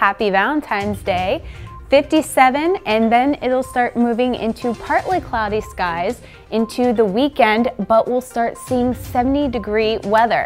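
A woman talks at a moderate pace in a fairly high voice. Faint music plays in the background. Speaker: broadcast meteorologist. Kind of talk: TV weather forecast. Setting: studio. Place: studio.

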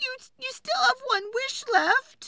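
A put-on character voice comes at a slow pace, with a bright, sharp tone and vocal fry. Its pitch varies in an ordinary way. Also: woman.

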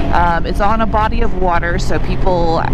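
A woman speaks in a dry sound with no echo, over loud background noise. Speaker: motorcycle vlogger. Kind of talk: casual vlog chat. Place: motorbike. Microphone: helmet.

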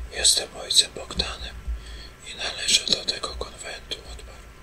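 Against noticeable background noise, a very slow whisper can be heard. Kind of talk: read story; bedtime ASMR story reading. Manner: whispered.

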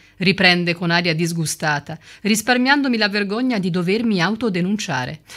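A woman speaks at a moderate pace and a fairly low pitch with ordinary pitch variation. Her tone is fairly bright, and the recording is very clean with a silent background.

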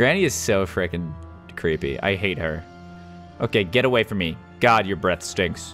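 Faint music plays behind a man speaking at a moderate pace. His pitch is very deep and low. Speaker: video creator. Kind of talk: casual reaction commentary. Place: home room. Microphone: studio mic.

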